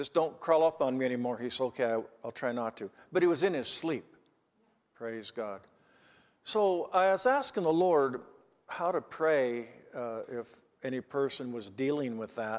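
A man speaks at a moderate pace, leaving long, frequent pauses. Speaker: preacher. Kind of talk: sermon. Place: church. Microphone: podium.

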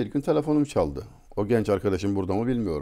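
Against a quiet background, a man with a dark, mellow tone and vocal fry speaks at a moderate pace with lively intonation. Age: 60s. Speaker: writer and speaker; speaker. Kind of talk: talk; conversational talk, storytelling. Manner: formal. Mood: warm, reflective. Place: home room. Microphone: lapel.

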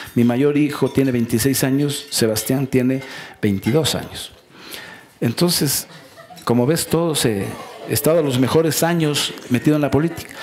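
Over light background noise, a man talks fairly slowly with ordinary pitch variation and long, frequent pauses. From Ecuador, Loja province (Celica); Ecuador. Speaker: politician and economist; politician. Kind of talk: casual interview. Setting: studio talk show. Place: stage. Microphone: headset.

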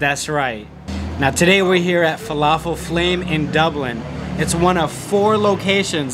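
Over noticeable background noise, a man speaks at a moderate pace with ordinary pitch variation. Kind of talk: promotional vlog chat. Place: cafe. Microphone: phone near.

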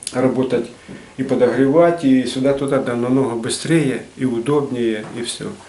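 Speaking at a moderate pace with a Ukrainian accent, a man uses a medium pitch and ordinary pitch variation, with audible room echo. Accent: Ukrainian-accented Russian with surzhyk. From Ukraine, Nikopol; Ukraine. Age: 60s. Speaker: retired metalworker and craftsman. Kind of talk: casual explanation of his artwork. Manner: halting, many fillers. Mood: calm, modest. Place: hall. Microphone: camera far.

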